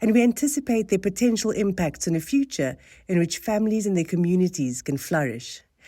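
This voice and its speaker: In a very clean recording with a silent background, a woman with a South African accent speaks fairly quickly in a dark, mellow tone at medium pitch, her voice swinging very widely in pitch. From South Africa, Cape Town. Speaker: think tank board chair. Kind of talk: formal welcome speech. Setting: salon event with live audience. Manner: formal.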